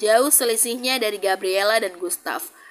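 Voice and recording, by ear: The clip is reading aloud in a natural voice, with ordinary pitch variation.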